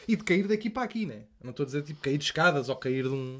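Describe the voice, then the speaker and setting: A man talks at a very fast pace with lively intonation. His voice comes across as somewhat breathy. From Portugal, Lisbon. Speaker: comedian and podcast host; comedian, podcast host. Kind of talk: casual chat. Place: studio. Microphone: studio mic.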